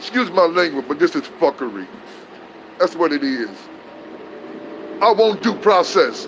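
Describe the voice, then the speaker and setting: The speaker's tone is animated and the pace moderate. Noticeable background noise runs underneath. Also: man. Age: 60s. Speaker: whistleblower vlogger. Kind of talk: casual monologue to camera.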